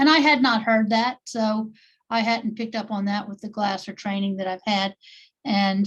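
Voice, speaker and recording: A woman with an American accent speaks in a fairly high, somewhat breathy voice. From US South, New Orleans. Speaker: therapist, workshop participant. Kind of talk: online group discussion. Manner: halting.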